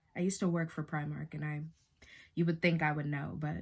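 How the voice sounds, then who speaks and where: This woman has a very deep, low pitch. Her intonation is fairly even, and vocal fry comes through. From Boston, Massachusetts. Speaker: beauty YouTuber. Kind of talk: makeup tutorial. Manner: casual, chatty.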